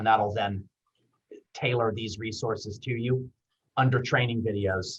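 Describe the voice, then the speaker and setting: Somewhat breathy and at medium pitch, a man speaks with fairly even intonation. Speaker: university veterans services director. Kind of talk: webinar presentation. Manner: fast.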